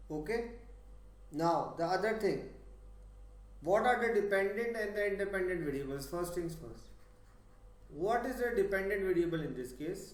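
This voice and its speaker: Long, frequent pauses amid audible room echo. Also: man, high pitch for a man, ordinary pitch variation. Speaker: physics tutor. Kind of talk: lecture. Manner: slow.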